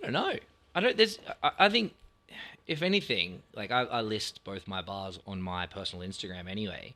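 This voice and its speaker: With an Australian accent, a man talks at a fairly quick pace. His loudness swings widely. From Australia, Sydney inner west. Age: 30s. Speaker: bar owner. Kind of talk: casual chat.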